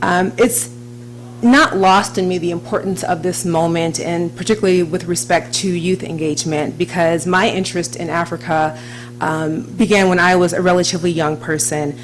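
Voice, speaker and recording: A woman with an American accent speaks at a moderate pace, using lively intonation and a fairly low pitch. Audible room echo and noticeable background noise accompany her. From US, Washington DC. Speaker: diplomat. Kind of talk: speech. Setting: stage with audience.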